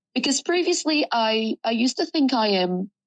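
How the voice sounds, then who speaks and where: The speaker has an Arabic accent. The sound is dry and close with no echo. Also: woman. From Sudan. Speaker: journalism student. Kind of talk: personal testimony interview.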